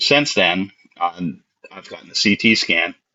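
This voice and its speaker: A man with an American accent. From Baltimore, US. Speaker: special effects artist. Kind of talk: interview. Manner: halting.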